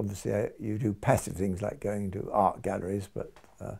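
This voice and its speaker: A man's fairly low, dark and mellow voice with an English accent, vocal fry and a moderate pace. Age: 80s+. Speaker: retired doctor and early music reenactor. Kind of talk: documentary interview.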